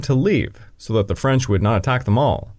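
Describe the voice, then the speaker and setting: A man speaks in a somewhat breathy voice. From Canada. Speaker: history podcast host. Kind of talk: scripted narration.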